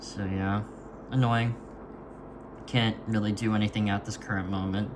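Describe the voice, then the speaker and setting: Over noticeable background noise, a man with a fairly low pitch speaks at a moderate pace in a monotone, flat intonation. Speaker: vlogger practicing handwriting. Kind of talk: casual monologue while writing. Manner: halting, many fillers and restarts.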